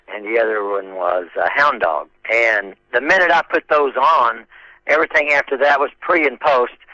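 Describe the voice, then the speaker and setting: With a bright, sharp tone and some vocal fry, a man of medium pitch speaks at a moderate pace with lively intonation in a dry, close sound with no echo. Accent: American. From Oklahoma. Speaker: 1960s rock singer and guitarist. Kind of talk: interview.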